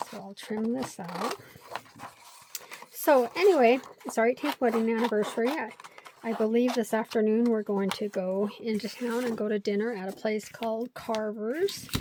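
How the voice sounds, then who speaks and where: Over noticeable background noise, a woman speaks at a fairly high pitch with fairly even intonation. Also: moderate pace. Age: 50s. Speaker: craft video creator. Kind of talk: casual craft tutorial chat. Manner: chatty, rambling with fillers.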